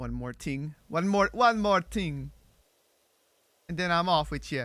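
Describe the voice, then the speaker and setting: The speech moves at a fairly slow pace on a very clean recording with a silent background. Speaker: streamer. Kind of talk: casual livestream chat while gaming. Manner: stumbles over words, repeats himself; animated.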